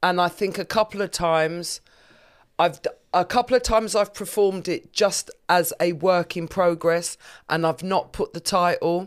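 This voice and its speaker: Recorded very cleanly against a silent background, a woman speaks in a normal speaking voice at a moderate pace. Her pitch is fairly low and her intonation fairly even. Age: 50s. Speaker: comedian. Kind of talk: casual chat.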